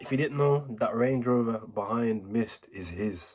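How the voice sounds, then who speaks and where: Speaking fairly slowly, a man uses a medium pitch with ordinary variation in it. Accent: Birmingham. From Birmingham, England. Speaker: music reaction YouTuber. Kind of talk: casual reaction commentary. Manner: animated.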